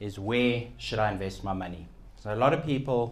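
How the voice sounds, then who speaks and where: A man's speech comes with audible echo from the room. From South Africa. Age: young. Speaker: keynote speaker, financial radio and TV personality. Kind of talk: keynote talk. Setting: event room with live audience.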